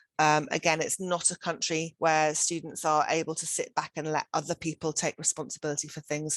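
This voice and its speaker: With a British accent, a woman talks at a fairly quick pace with hardly any pauses, her very deep, low pitch held in a monotone, flat intonation, the sound dry and close with no echo over a quiet background. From United Kingdom. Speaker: education centre director. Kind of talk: webinar presentation. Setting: online webinar.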